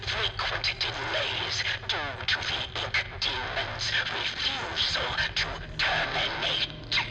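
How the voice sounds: A put-on character voice with vocal fry moves at a slow pace through big pitch swings. Clear music plays in the background.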